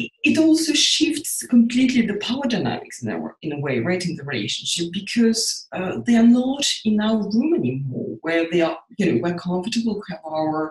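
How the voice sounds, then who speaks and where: A Russian accent with very wide pitch swings. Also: woman. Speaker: psychotherapist. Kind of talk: interview.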